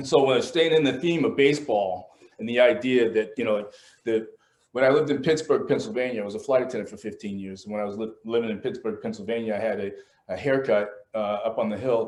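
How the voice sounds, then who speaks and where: A man's medium-pitched voice at a very fast pace, with lively intonation and big swings in loudness. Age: 60s. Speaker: artist. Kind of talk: casual talk about his art. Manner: halting, many repetitions.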